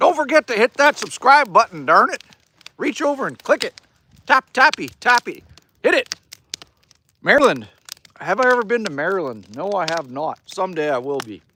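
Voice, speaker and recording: A man speaks in a raised, projected voice at a moderate pace, with long, frequent pauses, very wide pitch swings, a bright, sharp tone and big swings in loudness. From Manitoba, Canada. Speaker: live streamer chatting with viewers. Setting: outdoors by a campfire. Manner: casual, laid-back.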